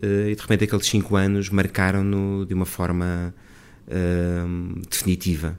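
A man talks fairly slowly in a very deep, low pitch. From Portugal, Lisbon. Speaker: son of a late poet, helped compile his poetry. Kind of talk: interview about a book. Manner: hesitant, many fillers.

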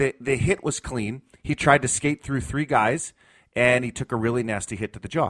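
This man has an ordinary speaking voice at a medium pitch. He keeps a moderate pace with ordinary pitch variation. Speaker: sports journalist. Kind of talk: casual chat.

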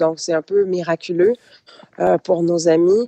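Dry and close with no echo, a woman's fairly low voice carries a dark, mellow tone. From Quebec. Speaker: hurricane-affected resident. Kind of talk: radio interview.

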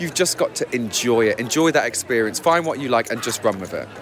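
A man races along very fast, his intonation lively, with noticeable noise in the background. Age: 20s. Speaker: drag queen gardener. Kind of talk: interview. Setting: outdoors at flower show. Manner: animated.

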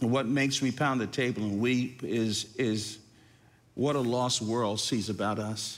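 At a fairly slow pace, a man talks in a normal speaking voice at medium pitch with fairly even intonation. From northern New Jersey. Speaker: pastor. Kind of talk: interview.

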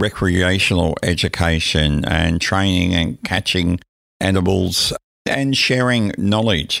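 With an Australian accent, a man speaks at a moderate pace in a fairly low pitch with ordinary pitch variation. The recording is very clean, with a silent background. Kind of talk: interview.

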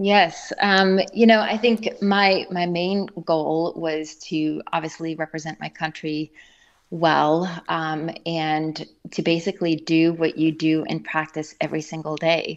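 Speaking very slowly with an American accent, a woman uses a fairly low pitch and fairly even intonation against a quiet background. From South Africa. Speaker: former Olympic gymnast. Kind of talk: interview. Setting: phone call. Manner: hesitant, many fillers.

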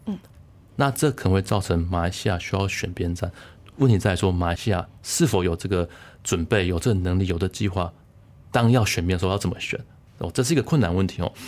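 Fairly quick in pace, a man talks with ordinary pitch variation. His pitch sits fairly low. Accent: Taiwanese. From Taiwan. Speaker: political science researcher. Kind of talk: interview. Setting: studio.

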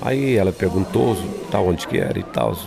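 Very wide pitch swings mark this moderately paced speech, heard over noticeable background noise. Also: man. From São Paulo, Brazil. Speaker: radio announcer. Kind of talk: interview. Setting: church conference hotel.

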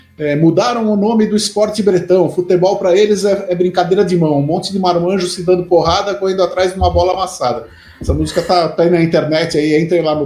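A very fast man's voice, high in pitch with fairly even intonation, over noticeable background noise. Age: 50s. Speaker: football commentator and musician. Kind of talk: casual chat. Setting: live stream.

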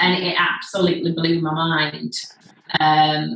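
A woman speaks with a Leeds accent. Her intonation is monotone and flat. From northern England, Leeds. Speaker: executive coach and hypnotist. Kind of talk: casual interview. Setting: video call.

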